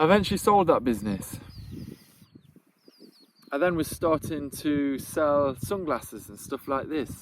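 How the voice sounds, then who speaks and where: Speaking with a British accent, a man uses a fairly high voice and lively intonation at a moderate pace. His loudness swings widely, and long pauses come often. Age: 30s. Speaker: vlogger and entrepreneur. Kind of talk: casual talk to camera.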